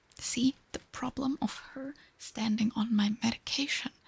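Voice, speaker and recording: The voice is soft-spoken. Its pace is fairly slow. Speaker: ASMR streamer. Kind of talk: casual live stream chat.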